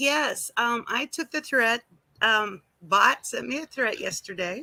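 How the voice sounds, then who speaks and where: A woman's high-pitched, bright, sharp voice at a very slow pace with lively intonation, dry and close with no echo, in a very clean recording with a silent background. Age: 60s. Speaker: livestreamer, retired nurse. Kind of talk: casual chat. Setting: outdoors in garden.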